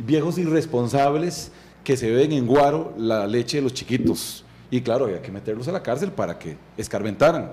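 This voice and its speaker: The man's intonation is lively. He keeps to a moderate pace. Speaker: interview guest. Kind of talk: interview answer. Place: studio. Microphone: studio mic.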